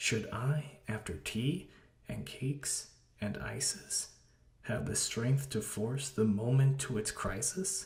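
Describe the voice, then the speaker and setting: A man speaks at a very slow pace, his voice somewhat breathy. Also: medium pitch for a man, lively intonation. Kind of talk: poetry reading.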